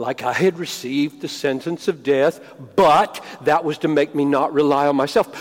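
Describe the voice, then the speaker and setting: A man with a fairly high pitch talks at a fairly slow pace in an unremarkable speaking voice with ordinary pitch variation. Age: 60s. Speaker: pastor and seminary teacher. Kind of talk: sermon. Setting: stage with audience.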